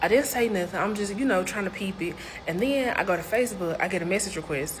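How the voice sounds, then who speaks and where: A woman speaks at a fairly quick pace with ordinary pitch variation, with audible room echo and noticeable background noise. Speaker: storyteller. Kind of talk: storytime monologue. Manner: fast; animated.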